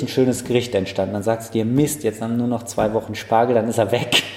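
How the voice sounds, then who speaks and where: Over noticeable background noise, a man speaks fairly quickly at a medium pitch. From Frankfurt am Main, Bornheim. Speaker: chef and restaurant owner. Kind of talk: casual interview. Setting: in restaurant, first garden then indoors. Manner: hesitant fillers (äh).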